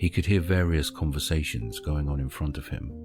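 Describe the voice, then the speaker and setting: Music plays behind a man speaking at a moderate pace. His voice is very deep and low, with ordinary pitch variation. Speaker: voice over artist, author-narrator. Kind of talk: audiobook short story narration.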